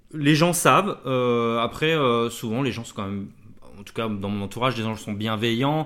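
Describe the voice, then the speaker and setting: A man talks at medium pitch and a moderate pace with ordinary pitch variation. His loudness swings widely. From France, Blois (Loir-et-Cher). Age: 40s. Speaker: tattoo artist. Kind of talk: casual chat. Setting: studio, shared single mic. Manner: halting, many fillers.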